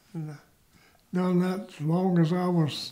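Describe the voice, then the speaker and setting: This voice has a dark, mellow tone and a Southern US accent. It moves at a fairly slow pace with flat, monotone intonation. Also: man. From US South, north Georgia. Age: 90s. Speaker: war veteran. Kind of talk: oral history interview.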